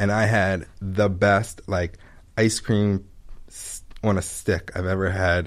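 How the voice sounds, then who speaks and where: Speaking in a normal speaking voice, a man keeps a fairly low pitch and fairly even intonation in a very clean recording with a silent background. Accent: American. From Maryland, Baltimore area (Pikesville). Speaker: ice cream shop owner. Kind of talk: casual interview.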